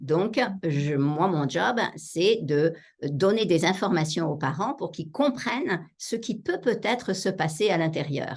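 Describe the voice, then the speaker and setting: A woman's fairly slow speech with very wide pitch swings, set against a quiet background. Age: 60s. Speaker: psychotherapist and author. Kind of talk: interview.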